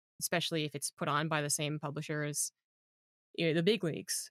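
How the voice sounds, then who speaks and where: The sound is dry and close with no echo as a man with a fairly high pitch talks at a fairly quick pace. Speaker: podcast host and esports caster. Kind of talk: podcast interview, conversational.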